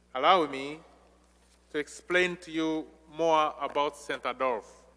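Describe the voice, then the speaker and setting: In a Ugandan accent, a man speaks with a fairly high pitch, fairly even intonation and a bright, sharp tone. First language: non-English (Ugandan language). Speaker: visiting missionary priest. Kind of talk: homily. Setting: church during Mass. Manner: slow.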